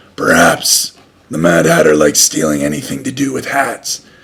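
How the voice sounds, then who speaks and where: A man puts on a character voice that is very deep and low, raspy, with very wide pitch swings. He keeps a moderate pace. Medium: read story. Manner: calm, serious.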